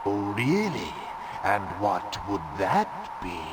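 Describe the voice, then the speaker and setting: Loud background noise and a clear echo surround a man doing a put-on character voice at a very slow pace. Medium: game stream. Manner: taunting, contemptuous.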